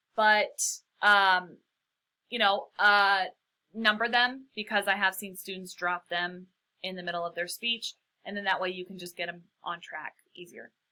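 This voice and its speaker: At a fairly slow pace, a woman talks with a bright, sharp tone and a medium pitch. Her intonation is fairly even, with big swings in loudness. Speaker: college public speaking instructor. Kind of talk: recorded lecture. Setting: solo recorded lecture for upload. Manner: casual, many fillers.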